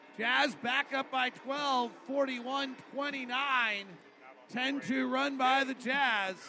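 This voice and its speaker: A man speaks in an extremely high voice, raised and projected. There is noticeable background noise. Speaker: radio play-by-play announcer. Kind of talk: live play-by-play basketball commentary. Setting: arena broadcast. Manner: rapid-fire, clipped play-by-play delivery; animated, rising pitch on big plays.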